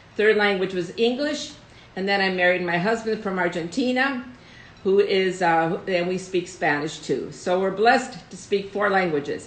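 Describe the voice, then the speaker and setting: A woman speaks at a moderate pace with ordinary pitch variation. Some room echo can be heard. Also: medium pitch for a woman. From United States, Russian immigrant family. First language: Russian. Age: 70s. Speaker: host's mother, guest. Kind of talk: casual live stream chat. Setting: live video stream.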